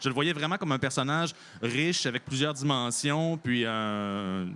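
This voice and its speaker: This man has a normal speaking voice at medium pitch, moving at a moderate pace with lively intonation. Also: very clean recording, silent background. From Quebec, Bellechasse (south shore). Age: 30s. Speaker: novelist. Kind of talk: interview.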